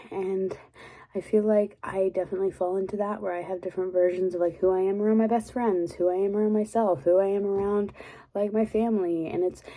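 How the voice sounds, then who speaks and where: Soft-spoken and fairly quick, a woman with an American accent talks at a medium pitch in a dark, mellow tone. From Texas. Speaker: ASMR creator. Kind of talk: casual rambling talk to camera.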